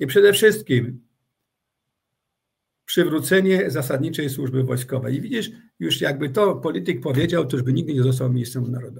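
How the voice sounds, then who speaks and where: Lively intonation runs through this man's somewhat breathy voice. He keeps a moderate pace. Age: 60s. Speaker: retired army general. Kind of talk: interview. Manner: halting.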